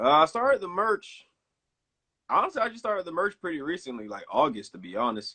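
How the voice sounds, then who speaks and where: Speaking fairly quickly with a Southern US accent, a man uses a high, bright, sharp voice, with very wide pitch swings and big swings in loudness. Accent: Southern US (Georgia). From Georgia, US South (Columbus, then Atlanta). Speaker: music producer and radio host. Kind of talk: casual chat.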